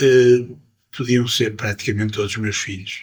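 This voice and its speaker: Somewhat breathy, a man's voice stays at a medium pitch. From Portugal, Porto. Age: 70s. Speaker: musician. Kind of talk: interview. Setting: jazz club. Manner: animated.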